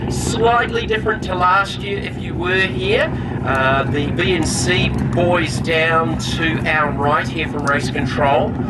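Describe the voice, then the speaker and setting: At a very slow pace, the speech carries audible room echo and noticeable background noise. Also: man. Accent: New Zealand. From New Zealand. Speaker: race commentator. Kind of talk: live commentary.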